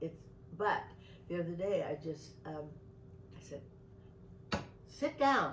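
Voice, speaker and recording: A woman's somewhat breathy, fairly low voice broken by long, frequent pauses. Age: 80s. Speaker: retired clinician and meditation teacher. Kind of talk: interview. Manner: halting.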